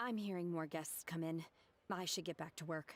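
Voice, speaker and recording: Using a put-on character voice, a woman talks at a fairly quick pace in a fairly low pitch with fairly even intonation. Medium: video game.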